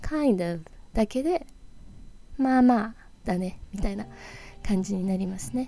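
Lively in intonation, a woman speaks at a fairly slow pace with long, frequent pauses. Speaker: English teacher podcaster. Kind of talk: tutorial. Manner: low-energy.

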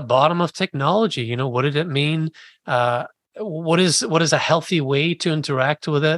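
With a dry, close sound with no echo, a man with a plain, everyday voice speaks at a fairly quick pace in a fairly high pitch, using ordinary pitch variation. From Scotland, Edinburgh; moved to US at 11. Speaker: writer and podcast host. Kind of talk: interview conversation.

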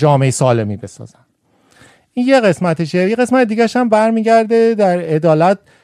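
Intonation is lively in this man's voice. He keeps to a moderate pace. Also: very clean recording, silent background. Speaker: farmer and scientist. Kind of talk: casual chat.

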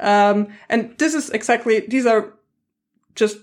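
A woman's voice at a fairly slow pace, with lively intonation. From Germany. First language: German. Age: 20s. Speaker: science communicator. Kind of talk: interview conversation.

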